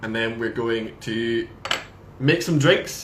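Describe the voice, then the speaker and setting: A man with a Scottish accent speaks at a fairly slow pace with ordinary pitch variation, and room echo is audible. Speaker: brand ambassador. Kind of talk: casual chat. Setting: live video stream.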